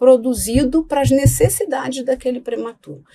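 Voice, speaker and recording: Here a woman talks in a high pitch with a dark, mellow tone. Her intonation is lively and her pace moderate. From Rio de Janeiro, Brazil. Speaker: pediatrician. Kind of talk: interview. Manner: hesitant, many fillers.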